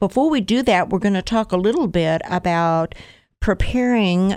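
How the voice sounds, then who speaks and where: Here is an ordinary speaking voice from a woman at a medium pitch, with ordinary pitch variation. The recording is very clean and the background silent. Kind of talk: casual interview. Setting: kitchen demo.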